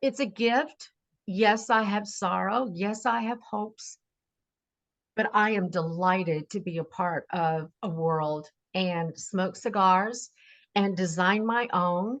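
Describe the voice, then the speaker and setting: Speaking at a very slow pace, a woman uses ordinary pitch variation. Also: medium pitch for a woman. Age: 60s. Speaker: singer and cigar designer. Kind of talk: interview testimony.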